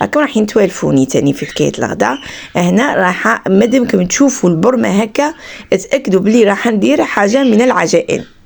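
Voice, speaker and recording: A woman speaks at a moderate pace in a medium pitch, her voice showing vocal fry and swinging very widely in pitch. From Algeria, Skikda. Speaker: vlogger, mother and homemaker. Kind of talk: casual vlog narration.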